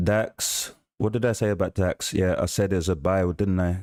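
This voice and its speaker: Over a silent background in a very clean recording, a man with a London accent speaks in a very deep, low pitch, at a fairly slow pace with fairly even intonation. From South London, England. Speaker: forex trader streaming live trades. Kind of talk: live trading stream commentary. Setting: livestream.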